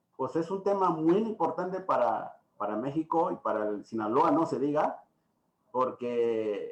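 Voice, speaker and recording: Speaking with an Oaxacan accent, a man uses lively intonation at a fairly high pitch. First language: Triqui (speaking Spanish). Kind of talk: lecture. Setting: video call. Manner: halting.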